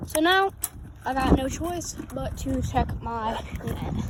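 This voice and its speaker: Noticeable background noise is present. Over it, a woman talks in a high voice. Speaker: fishing vlogger. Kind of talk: outdoor vlog narration. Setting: outdoors by a creek. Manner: casual; whispering at times.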